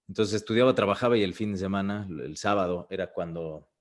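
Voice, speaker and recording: A moderate pace and ordinary pitch variation come through in a very clean recording with a silent background. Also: man. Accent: Mexican. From Mexico. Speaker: voice actor. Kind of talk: interview answer. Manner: casual, conversational.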